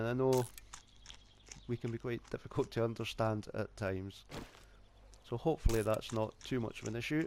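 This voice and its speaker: With a strong Scottish accent, a man speaks in fairly even intonation. He leaves long, frequent pauses. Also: medium pitch for a man, moderate pace. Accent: thick Scottish. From Scotland. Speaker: gaming YouTuber. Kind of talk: let's play gaming commentary. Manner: casual.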